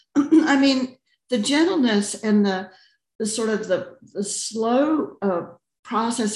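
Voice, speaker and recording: A somewhat breathy woman's voice, fairly high in pitch, with lively intonation. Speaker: study group participant. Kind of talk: personal sharing in group. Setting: video call.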